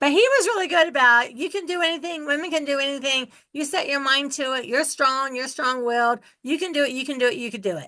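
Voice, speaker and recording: A woman's raised, projected, high-pitched voice, bright and sharp in tone, at a very fast pace with hardly any pauses and ordinary pitch variation. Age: 60s. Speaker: real estate investor. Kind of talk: interview.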